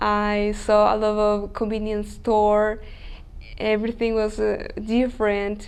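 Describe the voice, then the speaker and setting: Speaking at a very slow pace, a woman with a fairly high pitch keeps a monotone, flat intonation over audible room echo. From Chile. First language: Spanish. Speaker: language school student. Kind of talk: interview. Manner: halting.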